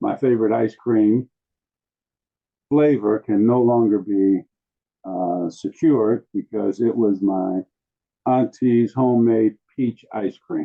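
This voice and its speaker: At a very slow pace and with long, frequent pauses, a man speaks at a medium pitch with fairly even intonation. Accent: American. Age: 70s. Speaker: panel guest, elder. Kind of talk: panel conversation.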